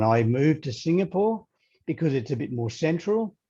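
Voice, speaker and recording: A man speaks with an Australian accent in a dark, mellow tone. His voice is somewhat breathy against a quiet background. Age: 30s. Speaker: leadership coach. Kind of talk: interview.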